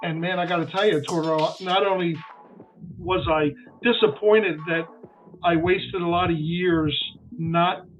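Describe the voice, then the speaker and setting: Music sits in the background while a man with a high pitch speaks. His intonation stays fairly even, with long, frequent pauses. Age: 50s. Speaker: singer in a tribute band. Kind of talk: radio interview.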